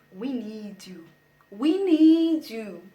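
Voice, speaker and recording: A woman with a dark, mellow tone makes very wide pitch swings, and audible room echo can be heard. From South Africa. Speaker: YouTuber. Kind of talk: casual vlog talk to camera.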